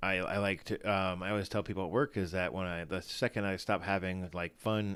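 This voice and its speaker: A fairly quick pace in a very clean recording with a silent background. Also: man. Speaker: fantasy football show host. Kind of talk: casual live stream chat. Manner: halting, many fillers.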